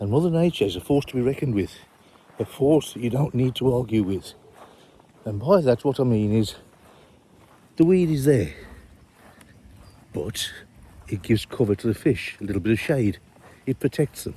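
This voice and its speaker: Long, frequent pauses break up this somewhat breathy voice with a dark, mellow tone. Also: man, medium pitch for a man, lively intonation, moderate pace. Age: 60s. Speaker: fishery owner. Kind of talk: casual walk-around vlog. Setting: outdoors.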